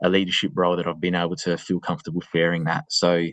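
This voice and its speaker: A man with an Australian accent, dry and close with no echo. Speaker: school assistant principal. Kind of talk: webinar interview. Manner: halting.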